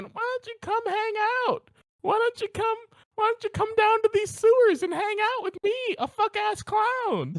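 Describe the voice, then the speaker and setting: A woman puts on a character voice at an extremely high pitch and a moderate pace. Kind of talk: crude. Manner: menacing, luring.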